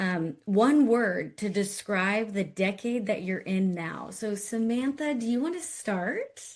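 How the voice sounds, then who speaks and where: At a very slow pace, a woman speaks with lively intonation and a somewhat breathy quality. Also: medium pitch for a woman, hardly any pauses. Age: 30s. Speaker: podcast host and career coach. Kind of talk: podcast interview; scripted intro.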